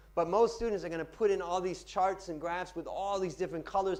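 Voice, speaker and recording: Audible room echo carries a man's high-pitched voice. He talks at a fairly quick pace with fairly even intonation. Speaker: finance lecturer and pitching trainer. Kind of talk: Q&A after a talk. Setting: lecture room with audience. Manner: fast.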